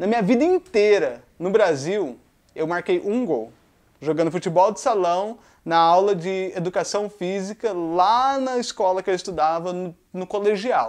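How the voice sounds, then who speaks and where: Against a quiet background, a man with a Brazilian accent speaks at a fairly slow pace and a high pitch. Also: ordinary pitch variation. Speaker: YouTuber. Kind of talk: casual monologue. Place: home room.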